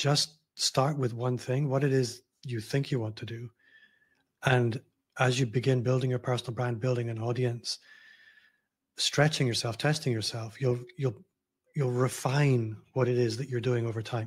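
A man speaks at a moderate pace in a monotone, flat intonation, somewhat breathy, with long, frequent pauses. The background is quiet. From Scotland, Glasgow. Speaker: personal branding consultant. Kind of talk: casual interview conversation. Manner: easygoing. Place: home room.

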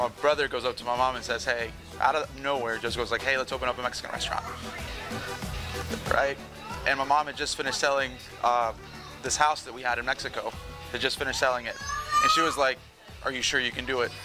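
Clear music plays in the background as a man speaks very fast in a monotone, flat intonation. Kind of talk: interview answer. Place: cafe. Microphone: lapel.

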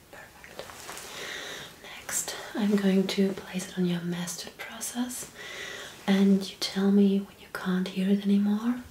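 At a fairly slow pace, a woman with a medium pitch speaks amid audible room echo and light background noise. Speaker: ASMR creator doing a medical roleplay as a doctor. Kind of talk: medical exam roleplay, ASMR. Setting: studio, ASMR-style close recording. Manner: soft-spoken, whispering. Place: home room.

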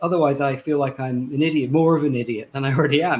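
A man with a Welsh accent. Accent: Welsh-tinged British English. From Wales. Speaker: novelist; guest. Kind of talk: book reading and panel conversation. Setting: video call. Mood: reflective, self-deprecating. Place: home room.

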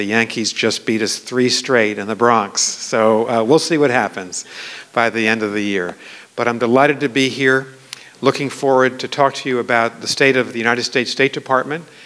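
The speaker is a man with fairly even intonation. He keeps a moderate pace. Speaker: guest lecturer. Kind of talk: formal lecture opening remarks. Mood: warm, lightly humorous. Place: hall. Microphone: podium.

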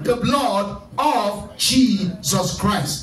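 A loud, animated voice carries over music in the background with audible room echo. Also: man. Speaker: pastor leading prayer night. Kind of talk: fervent deliverance prayer, commanding and repetitive, rebuking spirits. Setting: church service with online Zoom attendees. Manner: loud, urgent, rhythmic repetition; animated, exhorting the congregation. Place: church.

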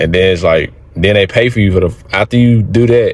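Fairly even intonation shapes what the man says. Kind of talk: casual conversation. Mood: relaxed, reflective. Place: car. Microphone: phone near.

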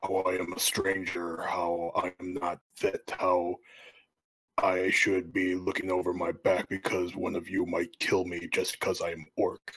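A man uses a raspy, put-on character voice with a very deep, low pitch. He speaks at a fairly slow pace. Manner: earnest, scheming.

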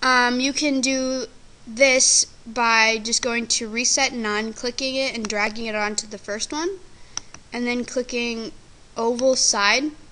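Noticeable background noise sits behind a woman with a high pitch. She talks at a fairly slow pace with fairly even intonation. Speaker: video editing tutorial maker. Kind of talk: screen-recorded software tutorial. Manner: casual, hesitant with fillers.

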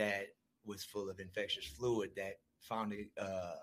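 A man's fairly low voice with an American accent, at a fairly slow pace, with monotone, flat intonation. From US Midwest, Milwaukee. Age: 30s. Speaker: recovering addict sharing his story. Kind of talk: podcast interview, personal testimony. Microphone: far from the mic at first.

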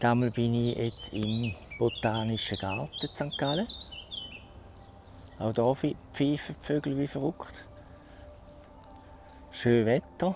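A man with a Swiss German accent, very slow pace, lively intonation, long and frequent pauses, a dry sound with no echo, and light background noise. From Switzerland. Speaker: vlogger. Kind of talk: casual vlog talk to camera. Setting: outdoors, wireless lapel mic. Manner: hesitant, with filler sounds. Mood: relaxed, cheerful. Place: garden. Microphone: phone near.

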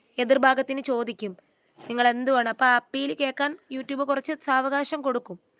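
Recorded with a dry, close sound with no echo, a woman speaks in a high pitch with fairly even intonation. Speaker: YouTuber. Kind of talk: live stream chat. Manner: casual, chatty.

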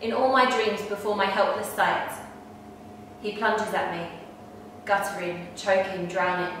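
A woman speaks fairly slowly with long, frequent pauses and fairly even intonation. Strong room echo and light background noise surround her voice. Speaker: poetry performer. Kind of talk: poem performed, dramatic reading aloud. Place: home room. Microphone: camera far.

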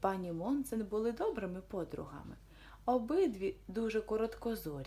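Reading aloud in a natural voice, the intonation lively

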